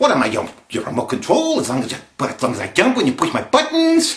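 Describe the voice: Pitched extremely high, a man performs a put-on character voice. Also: moderate pace.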